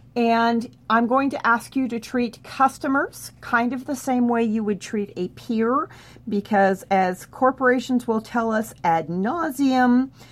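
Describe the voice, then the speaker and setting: An ordinary speaking voice moves at a fairly slow pace. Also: woman. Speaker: therapist educator. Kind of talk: tutorial. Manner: instructional, friendly.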